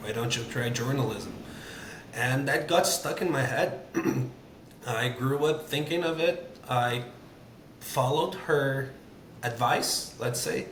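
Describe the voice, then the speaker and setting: Over noticeable background noise and audible room echo, a man with a Portuguese accent speaks at a very slow pace and medium pitch, with ordinary pitch variation and long, frequent pauses. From Brazil. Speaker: sports journalist. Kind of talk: casual chat.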